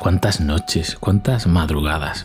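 Music plays in the background. A man talks at a very deep, low pitch. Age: 40s. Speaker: podcast host. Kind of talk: casual monologue.

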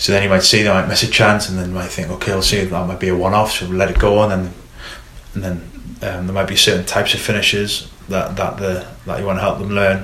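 With a Geordie accent, a man with a fairly low pitch talks very fast in a monotone, flat intonation, against noticeable background noise and audible room echo. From northern England, Newcastle. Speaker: football coach educator. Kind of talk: casual interview. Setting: studio.

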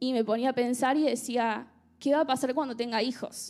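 In an Argentine accent, a woman speaks at a fairly slow pace with a high pitch and fairly even intonation, on a very clean recording with a silent background. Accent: Argentine Rioplatense. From Argentina. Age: 20s. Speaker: churchgoer sharing testimony. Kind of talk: testimony. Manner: casual, humorous.

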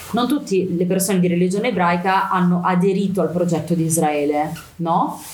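A woman talks at a fairly quick pace with a fairly low pitch and ordinary pitch variation, amid noticeable background noise and audible room echo. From Milan, Italy. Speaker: activist speaker on Palestine. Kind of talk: interview.

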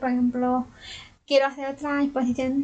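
The voice is a woman's, pitched high. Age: 20s. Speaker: journalist with a hearing impairment. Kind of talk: interview.

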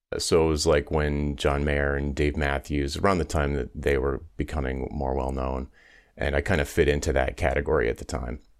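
A man speaks at a moderate pace in a very deep, low voice, with vocal fry and flat, monotone intonation. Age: 50s. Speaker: business coach and former musician. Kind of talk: interview conversation.

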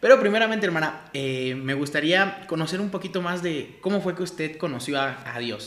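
The speaker moves at a moderate pace with lively intonation and hardly any pauses, amid noticeable background noise. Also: man, high pitch for a man. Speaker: podcast host, church ministry. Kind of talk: interview.

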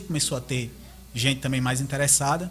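A man with a fairly high pitch speaks at a moderate pace in a normal speaking voice. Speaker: 3D modeling artist. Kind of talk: casual chat. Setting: live-streamed podcast.

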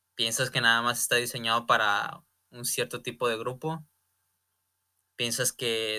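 At a fairly slow pace, a bright, sharp voice comes through in a dry, close sound with no echo, on a very clean recording with a silent background. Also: man. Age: 20s. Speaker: podcast host, young entrepreneur. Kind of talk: solo motivational monologue. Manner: halting, many fillers and repetitions.

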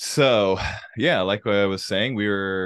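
Against a quiet background, a man talks in an ordinary speaking voice at a fairly low pitch and moderate pace. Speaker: podcast host. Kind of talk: casual chat. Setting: Mexico, recorded while traveling.

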